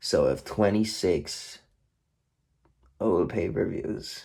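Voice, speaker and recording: A man speaks with noticeable vocal fry. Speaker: wrestling DVD collector vlogger. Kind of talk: casual unboxing monologue. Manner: rambling, with many fillers.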